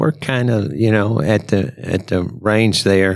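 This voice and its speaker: This man has a normal speaking voice, fairly low in pitch. His intonation is lively. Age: 60s. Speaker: auto repair shop owner. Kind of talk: casual chat. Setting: recorded at a trade show.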